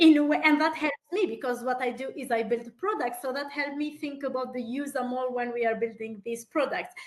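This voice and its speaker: Her voice sits high in pitch, and this woman uses ordinary pitch variation. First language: not English. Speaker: entrepreneur and product builder. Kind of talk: panel discussion on a webinar.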